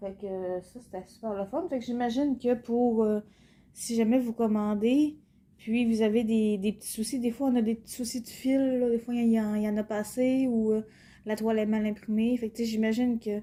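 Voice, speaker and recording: At a moderate pace, a woman with a fairly high pitch and a dark, mellow tone talks with big swings in loudness. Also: fairly even intonation. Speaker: cross-stitch YouTuber. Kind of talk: casual product unboxing vlog. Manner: hesitant, many fillers.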